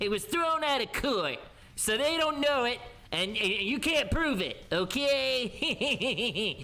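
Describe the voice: Someone performs a high-pitched, put-on character voice at a fairly slow pace over light background noise.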